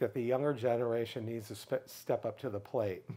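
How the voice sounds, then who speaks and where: With an American accent, a man speaks in a fairly even tone against a quiet background. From US Midwest, Michigan. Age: 60s. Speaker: public speaker on LGBTQ issues; interview guest, speaker. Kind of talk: interview. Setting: in person. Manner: halting. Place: home room. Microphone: lapel.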